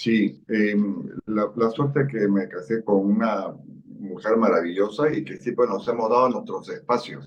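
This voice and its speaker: A man's medium-pitched voice with vocal fry, ordinary pitch variation and a fairly slow pace. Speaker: parliamentary civil servant. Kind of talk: interview. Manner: calm.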